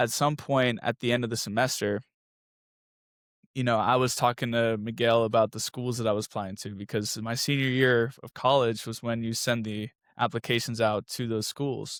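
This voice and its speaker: The man holds a medium pitch and a moderate pace with monotone, flat intonation. His recording is very clean, and the background is silent. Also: dry, close sound with no echo. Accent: Spanish. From US South, moved around. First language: Spanish. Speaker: architecture student, former track athlete. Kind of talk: casual interview. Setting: podcast.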